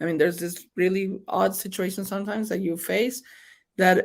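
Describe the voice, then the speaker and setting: In a strong Mexican accent, a woman talks at a fairly quick pace and a medium pitch with fairly even intonation, on a very clean recording with a silent background. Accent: thick Mexican Spanish. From Mexico. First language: Spanish. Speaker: state senator. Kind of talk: interview. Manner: code-switching Spanish and English.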